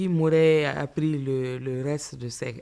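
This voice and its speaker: Speaking very slowly in a Malian accent, the woman has a very deep, low pitch, a dark, mellow tone and fairly even intonation. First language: Bambara (speaking French). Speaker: writer and storyteller. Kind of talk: interview. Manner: halting.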